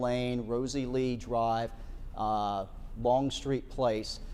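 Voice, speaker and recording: Here is a man at medium pitch with a dark, mellow tone. He speaks in a monotone, flat intonation. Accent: American. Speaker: broadcast meteorologist. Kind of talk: live severe weather TV broadcast. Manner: urgent, fast.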